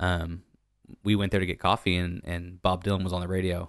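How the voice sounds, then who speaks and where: A very deep, low-voiced man with an American accent, dry and close with no echo, against a quiet background. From Northern California (Calaveras County). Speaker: bartender. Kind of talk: casual chat.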